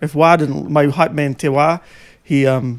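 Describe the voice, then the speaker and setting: Here a man speaks at a fairly high pitch. His pace is moderate and his intonation fairly even. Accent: New Zealand. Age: 40s. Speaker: podcast host and former rapper. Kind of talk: casual chat. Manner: halting.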